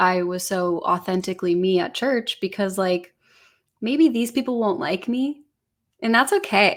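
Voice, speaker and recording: A plain, everyday voice from a woman with an American accent, at a medium pitch and fairly slow pace with ordinary pitch variation. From US Midwest, Illinois. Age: 20s. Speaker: singer. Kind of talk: testimony.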